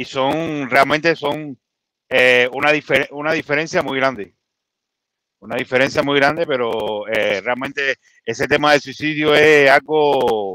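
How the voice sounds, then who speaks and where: A man's bright, sharp voice, fairly high in pitch, with ordinary pitch variation, a fairly slow pace and a dry sound with no echo. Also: quiet background. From Cuba, Havana; Cuba. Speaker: live stream call-in participant; guest commentator on web show. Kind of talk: casual political discussion. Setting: in a car. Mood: relaxed, joking at times. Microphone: studio mic.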